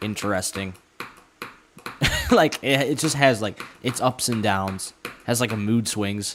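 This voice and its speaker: A man with an American accent, fairly low in pitch, at a fairly slow pace with long, frequent pauses and ordinary pitch variation, over noticeable background noise. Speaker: gaming streamer. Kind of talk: live gameplay stream chat. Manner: casual, filler-heavy.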